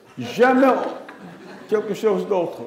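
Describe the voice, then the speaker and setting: There is audible room echo as a man with an English accent speaks in an extremely high voice. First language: English (speaking French). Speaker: astrophysicist. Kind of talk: memorial lecture. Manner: halting.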